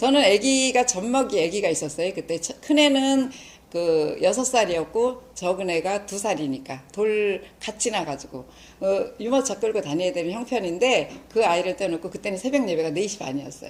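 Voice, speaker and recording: Her pitch swings very widely. This woman's voice sits at a medium pitch. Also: moderate pace. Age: 60s. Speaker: lay church evangelist, lecturer. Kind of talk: lecture.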